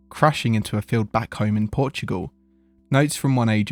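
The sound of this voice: What you hear is an unforced reading voice.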